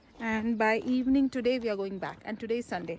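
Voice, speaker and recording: A woman speaks with a high-pitched voice. Her pitch rises and falls in an ordinary way. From Malayali raised in north India (Delhi). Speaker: travel vlogger. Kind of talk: casual travel vlog, code-switching Malayalam, English, Hindi. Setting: outdoors hiking in the mountains.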